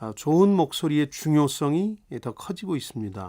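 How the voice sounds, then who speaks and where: At a moderate pace, a man with an ordinary speaking voice and fairly high pitch uses lively intonation on a very clean recording with a silent background. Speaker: radio host. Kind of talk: radio talk show hosting.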